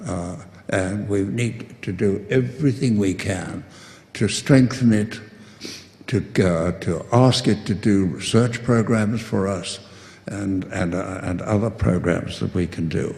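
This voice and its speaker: A fairly low, somewhat breathy male voice at a fairly slow pace with ordinary pitch variation, in audible room echo. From South Africa. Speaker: distinguished professor of urban studies. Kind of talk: closing remarks speech. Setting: conference podium with audience. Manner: halting, many fillers and repetitions.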